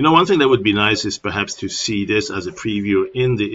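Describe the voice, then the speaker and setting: A man with a German accent speaks fairly quickly at a fairly low pitch. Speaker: software tutorial presenter. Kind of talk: tutorial. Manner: casual, hesitant with fillers.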